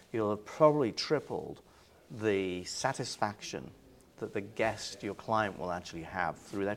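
A man speaks with an English accent at a fairly low pitch. His pace is moderate and his pitch varies in an ordinary way. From England. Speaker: cruise line sales executive. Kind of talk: interview. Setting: industry event.

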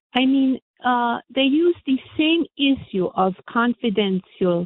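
Very wide pitch swings at a fairly slow pace. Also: woman. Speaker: caller. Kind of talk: call-in talk radio. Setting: phone call.

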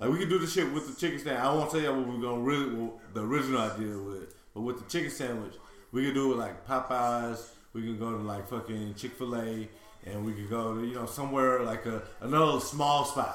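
At a very fast pace, a man with a Houston accent speaks at a medium pitch with ordinary pitch variation, amid audible room echo and noticeable background noise. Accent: Southern US, Houston. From Houston, Texas. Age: 30s. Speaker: podcast co-host. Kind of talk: casual chat.

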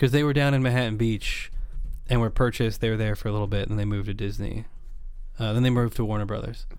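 A man with an American accent, very fast and fairly even in intonation, with audible room echo. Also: medium pitch for a man. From US West Coast, Napa Valley, California. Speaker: underwater cinematographer. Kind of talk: casual chat.

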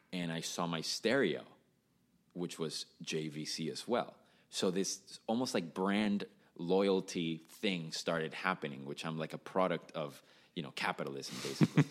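Someone speaks with a Spanish accent at a moderate pace. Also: man, very deep, low pitch for a man, ordinary pitch variation. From Venezuela, Caracas. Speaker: musician, drummer. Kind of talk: casual chat.

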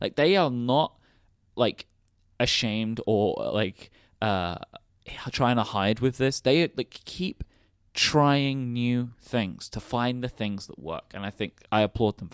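On a very clean recording with a silent background and a dry, close sound with no echo, a man of medium pitch speaks very slowly, with big swings in loudness. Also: ordinary pitch variation. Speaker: podcast host. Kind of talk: casual chat. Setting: live event, table in room.

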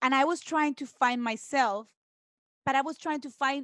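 Speaking with a Spanish accent at a moderate pace, a woman with a high pitch is heard against a quiet background in a dry, close sound with no echo. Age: 30s. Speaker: guest. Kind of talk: casual chat.

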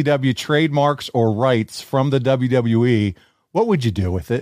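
In a normal speaking voice of medium pitch, a man speaks at a moderate pace on a very clean recording with a silent background and a dry, close sound with no echo. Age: 40s. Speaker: podcast host. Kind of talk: casual chat; ad read. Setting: studio.

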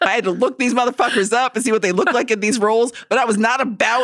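Talking very fast, a woman uses a fairly high voice. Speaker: podcast co-host. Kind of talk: casual chat. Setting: studio.

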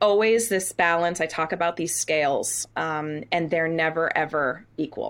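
A woman speaks at a fairly slow pace with a fairly low pitch and fairly even intonation in a plain, everyday voice, recorded very cleanly against a silent background. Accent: American. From US Northeast (New England). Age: 40s. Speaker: Broadway actress. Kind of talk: casual interview.

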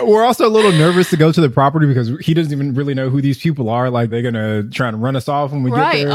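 A fairly high-pitched man talking very fast with lively intonation and hardly any pauses, amid noticeable background noise. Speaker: podcast co-host.

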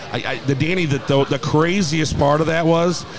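Fairly quick, fairly even-toned speech from a man amid noticeable background noise. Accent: American. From St. Louis, Missouri. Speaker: bar owner. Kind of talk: interview. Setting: live radio remote at a bar.

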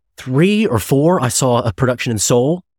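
Over a silent background in a very clean recording, a man with an American accent talks at a medium pitch with ordinary pitch variation. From US Midwest (Chicago). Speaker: actor and podcast host. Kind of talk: casual chat. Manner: halting, many false starts; animated.

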